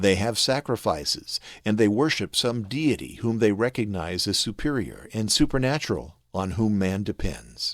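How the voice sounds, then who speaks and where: On a very clean recording with a silent background, a man speaks at a fairly low pitch and a moderate pace with lively intonation. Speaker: voice actor. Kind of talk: religious instruction narration.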